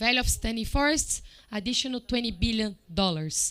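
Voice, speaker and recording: A woman with a non-native accent speaks at a fairly high pitch and a moderate pace. Her intonation is lively, and the recording is very clean with a silent background. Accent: foreign. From Brazil. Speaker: report presenter at climate event. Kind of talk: presentation.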